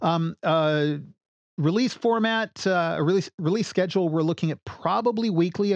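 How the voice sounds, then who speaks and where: A man speaks at a fairly quick pace in an unremarkable speaking voice, with lively intonation. The sound is dry and close with no echo, and the background is quiet. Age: 40s. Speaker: podcast host. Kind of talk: casual chat.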